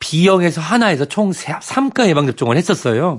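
Here is a man with a high pitch. He talks at a fairly slow pace. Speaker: family medicine professor. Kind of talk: health advice talk. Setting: studio.

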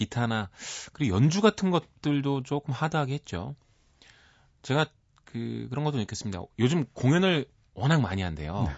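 There are long, frequent pauses as a man speaks with very wide pitch swings. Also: moderate pace. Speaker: music critic. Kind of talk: radio music segment chat.

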